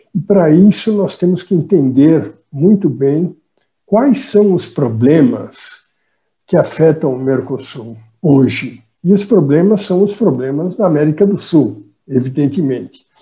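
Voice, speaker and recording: Speaking with a Portuguese accent, a man uses a fairly high pitch, a dark, mellow tone, lively intonation and a fairly slow pace. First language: Portuguese (speaking Spanish). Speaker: economics professor. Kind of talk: conference talk. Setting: video call.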